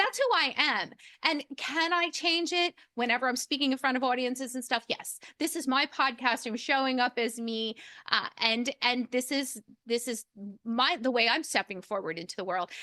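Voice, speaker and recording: The voice is raised and projected, bright and sharp in tone, with lively intonation at a moderate pace and a dry, close sound with no echo. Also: woman, high pitch for a woman. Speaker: podcast host. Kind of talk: interview. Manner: loud.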